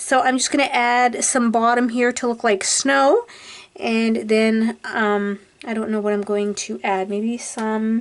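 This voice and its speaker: A woman mumbling at a very slow pace, with a fairly high pitch. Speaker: craft video creator. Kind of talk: tutorial. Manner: casual and chatty.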